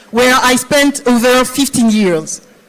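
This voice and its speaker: Noticeable background noise sits behind a woman with a high pitch. She talks at a fairly slow pace with ordinary pitch variation. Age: 50s. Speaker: finance executive. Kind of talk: conference panel talk.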